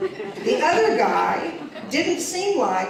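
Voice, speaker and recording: A woman speaks with very wide pitch swings against noticeable background noise. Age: 60s. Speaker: performer. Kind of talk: storytelling performance.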